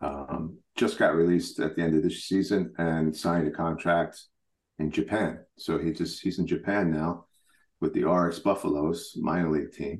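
There is a quiet background. Against it, a man talks at a moderate pace in an American accent. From New York. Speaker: national baseball team head coach. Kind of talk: interview.

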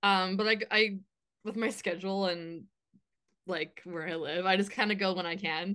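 A woman with a Canadian accent speaks in a medium pitch with fairly even intonation. She leaves long, frequent pauses. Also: moderate pace. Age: 20s. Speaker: community support worker and dancer. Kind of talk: casual interview. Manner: hesitant, many fillers.

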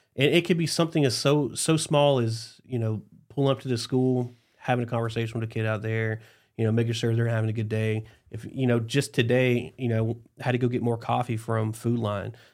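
A man with a medium pitch and an American accent talks at a fairly quick pace. He has an ordinary speaking voice with fairly even intonation. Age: 30s. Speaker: police chief. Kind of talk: casual interview chat.

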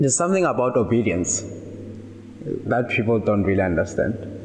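There is noticeable background noise and audible room echo. A man speaks at medium pitch with lively intonation. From South Africa, Limpopo. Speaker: software engineer. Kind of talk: casual chat.

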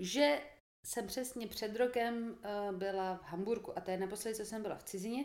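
A woman speaks at a moderate pace in a normal speaking voice. Her pitch sits fairly high. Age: 20s. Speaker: podcast guest, host's sister. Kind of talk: casual chat.

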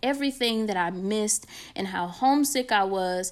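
Her medium-pitched voice moves at a moderate pace with ordinary pitch variation as the woman speaks. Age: 20s. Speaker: podcast host. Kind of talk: solo podcast monologue. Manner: casual, conversational.

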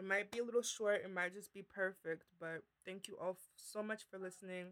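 A woman talks at a fairly quick pace in a flat, monotone intonation. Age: 20s. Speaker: podcast co-host. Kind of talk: casual chat.

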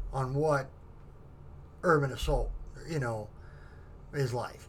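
Speaking at a fairly slow pace, a man with a fairly high pitch sounds somewhat breathy. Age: 50s. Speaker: military veteran. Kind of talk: casual chat. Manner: halting.

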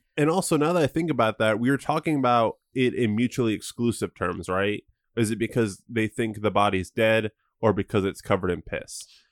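In an ordinary speaking voice, a man at medium pitch talks at a fairly quick pace with lively intonation, the sound dry and close with no echo and the recording very clean against a silent background. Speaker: podcast co-host. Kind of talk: casual chat.

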